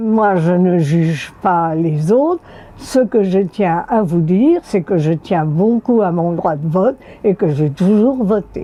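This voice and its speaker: The pace is very slow. The intonation stays lively. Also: woman, medium pitch for a woman. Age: 90s. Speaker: elderly woman recalling first vote. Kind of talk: interview testimony.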